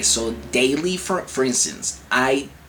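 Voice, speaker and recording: A man at a very slow pace, lively intonation, with noticeable background noise behind him. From Venezuela. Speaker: chronic illness vlogger. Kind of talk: casual vlog advice. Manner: halting, many fillers and restarts.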